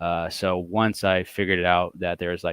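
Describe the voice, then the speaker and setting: A man at a fairly quick pace, his pitch very deep and low. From Texas, Dallas area. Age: 20s. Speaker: comic book collector. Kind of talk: casual podcast interview.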